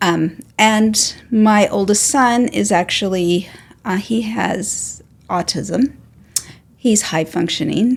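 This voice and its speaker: Very slow speech, somewhat breathy, with ordinary pitch variation. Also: woman, medium pitch for a woman. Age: 60s. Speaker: retired special education worker. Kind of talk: podcast interview. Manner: halting, many fillers.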